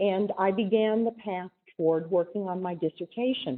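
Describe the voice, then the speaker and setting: A woman speaks at a moderate pace in an unremarkable speaking voice. Her intonation is lively. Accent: American. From US West, southern Oregon. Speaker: chemist. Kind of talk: lecture.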